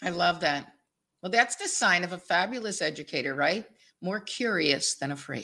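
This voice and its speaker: Bright, sharp tone with lively intonation at a moderate pace, in a very clean recording with a silent background. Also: woman, fairly low pitch for a woman. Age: 60s. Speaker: podcast host. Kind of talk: interview.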